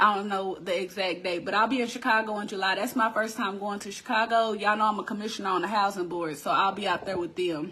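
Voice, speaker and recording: With an American accent, a woman at a medium pitch talks very fast in an animated tone, with hardly any pauses, over noticeable background noise. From Texas. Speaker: crafting business owner and online host. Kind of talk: casual live-stream chat.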